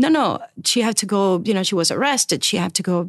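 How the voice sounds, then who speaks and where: A woman with a Spanish accent talks at a moderate pace with lively intonation, the sound dry and close with no echo. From Cuba. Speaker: children's book editor. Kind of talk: casual interview. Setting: studio.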